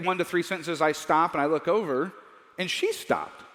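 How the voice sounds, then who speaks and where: A man speaks at a fairly quick pace. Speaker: Bible teacher. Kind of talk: lecture. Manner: fast; animated.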